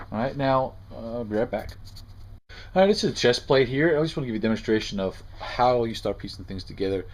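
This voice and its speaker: Talking at a very fast pace, a man keeps his intonation lively. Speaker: costume prop maker. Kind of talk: tutorial. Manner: halting. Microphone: phone near.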